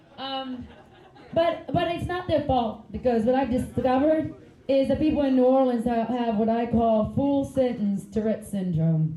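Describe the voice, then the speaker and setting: Very wide pitch swings at a fairly slow pace, with audible room echo and noticeable background noise. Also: woman. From Finland. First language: Finnish. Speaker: stand-up comedian. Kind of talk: stand-up.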